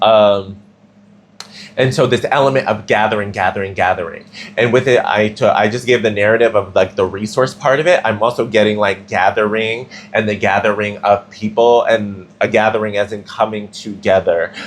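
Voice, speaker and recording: In a plain, everyday voice, a man speaks at a fairly low pitch and moderate pace with fairly even intonation. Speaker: tarot reader. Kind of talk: tarot reading.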